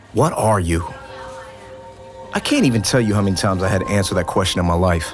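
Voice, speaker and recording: Over background music, a man talks at a very fast pace in a fairly low pitch, with ordinary pitch variation and very even loudness. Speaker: spoken word poet. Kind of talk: spoken word poetry performance.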